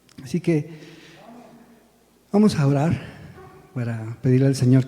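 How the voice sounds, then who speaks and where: Soft-spoken and fairly slow, a man talks in a fairly high voice. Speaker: lay preacher and church drummer. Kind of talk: sermon. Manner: halting.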